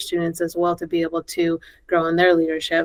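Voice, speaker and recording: A woman's fairly low voice, fairly quick in pace, with monotone, flat intonation. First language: Spanish. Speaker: school principal and education association board president. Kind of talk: podcast interview. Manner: conversational with many fillers.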